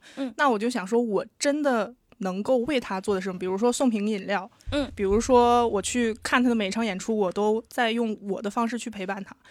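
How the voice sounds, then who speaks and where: A woman with a slight northeastern Chinese accent talks at a moderate pace and a fairly high pitch. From Northeast China. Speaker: stand-up comedy fan, unemployed. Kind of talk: casual chat.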